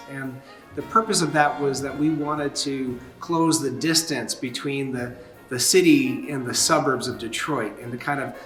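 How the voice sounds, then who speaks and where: Over music in the background, the speech moves at a fairly slow pace. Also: man. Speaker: organizer of a church jazz concert series. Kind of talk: interview answer.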